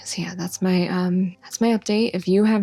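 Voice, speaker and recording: A woman's medium-pitched voice, dark and mellow in tone, at a moderate pace with fairly even intonation. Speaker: vlogger. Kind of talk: personal vlog. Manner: monotone.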